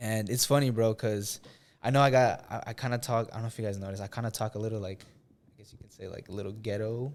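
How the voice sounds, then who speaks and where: Speaking at a very fast pace and medium pitch, a man with an American accent shows big swings in loudness on a very clean recording with a silent background. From US Midwest, Indiana. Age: 20s. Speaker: social media influencer and filmmaker. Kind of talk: casual podcast interview. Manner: casual, filler-heavy.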